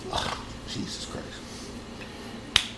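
A man amid noticeable background noise. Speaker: sports podcast host. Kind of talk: angry profane rant. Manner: loud, furious, insulting, shouting; emphatic, punchy, list-like (First of all, Secondly, Third).

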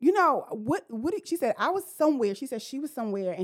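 With a New York accent, a woman speaks with very wide pitch swings. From Brooklyn, New York. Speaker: therapist. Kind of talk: casual chat.

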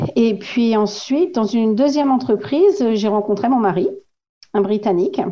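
A woman has an unremarkable speaking voice, fairly high in pitch with lively intonation. She keeps a moderate pace and very even loudness. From northern France, Oise (Compiègne). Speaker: French expat. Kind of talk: casual chat.

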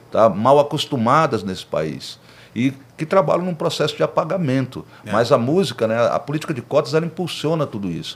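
Using vocal fry, a man talks at a fairly quick pace with a fairly high pitch and lively intonation. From Brasília, Federal District, Brazil. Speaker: rapper and podcast host. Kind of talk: casual interview chat.

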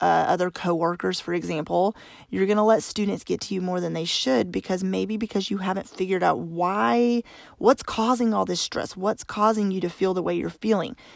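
Speaking at a fairly quick pace, a woman with an American accent and a medium-pitched voice is heard in a dry, close sound with no echo. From Arkansas, US South. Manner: fast talker.

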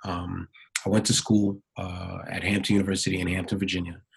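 A man speaks with a very deep, low pitch and a somewhat breathy quality. His intonation stays fairly even. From Brooklyn, New York. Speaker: dance choreographer and professor. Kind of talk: interview.

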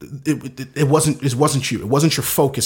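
A man speaks with an American accent at a fairly high pitch. His voice is somewhat breathy. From US East Coast, inner-city Baltimore. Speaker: photographer and videographer, business owner. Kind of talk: casual interview. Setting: Facebook Live video podcast.

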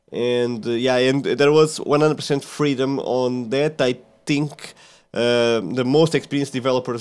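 In a very clean recording with a silent background, a man with a Portuguese accent speaks fairly slowly at medium pitch with fairly even intonation. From central Portugal, small village. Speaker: software developer. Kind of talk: casual interview. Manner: halting, many fillers and repeats.

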